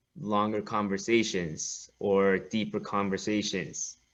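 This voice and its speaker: A man with a Korean accent and a bright, sharp tone, speaking very slowly against a quiet background. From South Korea. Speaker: hip-hop school co-founder, dance teacher. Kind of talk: interview conversation.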